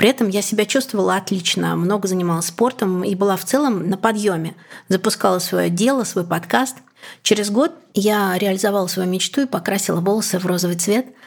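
A woman with a plain, everyday voice talks at a fairly quick pace and medium pitch with ordinary pitch variation, in a very clean recording with a silent background. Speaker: journalist and podcaster. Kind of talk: personal story.

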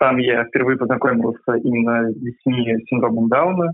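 At a moderate pace, a man with a medium pitch speaks in a plain, everyday voice. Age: 20s. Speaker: university student, volunteer swim coach. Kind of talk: interview.

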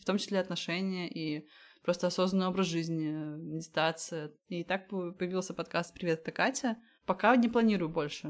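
This woman has an ordinary speaking voice with fairly low pitch and a moderate pace. The recording is very clean, with a silent background. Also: ordinary pitch variation. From Latvia. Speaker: podcaster and food photographer. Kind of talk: interview.

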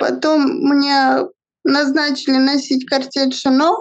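A woman with a high pitch speaks at a very slow pace in monotone, flat intonation. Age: 20s. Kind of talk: interview testimony.

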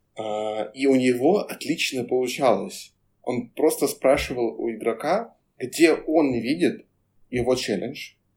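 At a very slow pace, a man talks with medium pitch and lively intonation on a very clean recording with a silent background. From Moscow, Russia. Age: 20s. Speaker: career coach. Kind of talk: casual chat.

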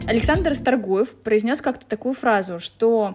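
A woman speaks with fairly high pitch at a moderate pace. Her pitch varies in an ordinary way. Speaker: podcast host. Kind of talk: casual interview.

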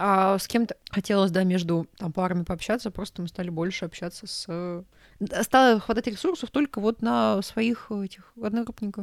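Recorded dry and close with no echo, a woman in a normal speaking voice talks at a moderate pace, with medium pitch and ordinary pitch variation. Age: 20s. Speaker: podcast co-host. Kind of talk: casual chat.

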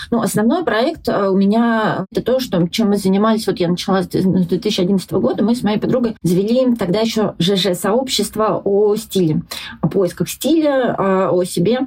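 Somewhat breathy, a woman speaks with very even loudness and ordinary pitch variation. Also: medium pitch for a woman, moderate pace. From Russia, Yelets and Voronezh. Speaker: journalist and blogger. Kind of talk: casual interview chat.

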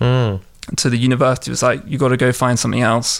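In a London accent, a man talks at a medium pitch with fairly even intonation. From southwest London, England. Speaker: entrepreneur. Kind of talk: interview.

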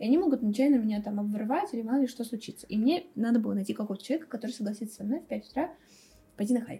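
A woman talks very fast in a fairly high voice. Her tone is dark and mellow. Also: ordinary pitch variation. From Russia, Tambov region village. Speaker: marketing special projects manager. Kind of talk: casual chat.

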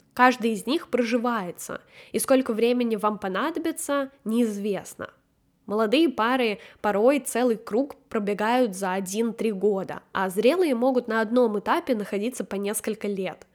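Using an ordinary speaking voice, a woman talks at a fairly slow pace and a fairly high pitch with ordinary pitch variation. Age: 20s. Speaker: podcast host, book club organizer. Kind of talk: solo book review podcast.

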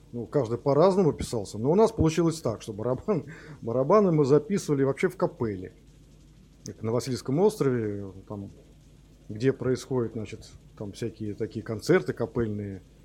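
A man with a dark, mellow, somewhat breathy tone speaks at medium pitch and a moderate pace, taking long, frequent pauses, with very wide pitch swings and big swings in loudness. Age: 50s. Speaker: rock musician, band founder. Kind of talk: interview.

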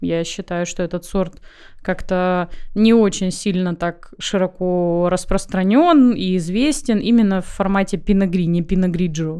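A woman talks at a fairly slow pace in a dark, mellow tone of medium pitch, with ordinary pitch variation. The recording is very clean with a silent background. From Crimea. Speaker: winemaker. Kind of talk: interview.

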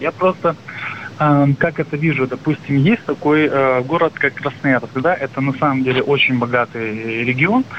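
A man with a fairly high pitch talks at a very even loudness with ordinary pitch variation over noticeable background noise. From Russia, Krasnoyarsk. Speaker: caller. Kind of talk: phone-in question. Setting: phone call. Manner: halting.

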